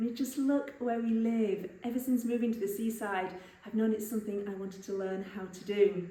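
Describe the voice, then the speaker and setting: Whispering at a fairly quick pace in an English accent, the voice comes with audible room echo and noticeable background noise. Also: woman. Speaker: vlogger. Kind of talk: vlog.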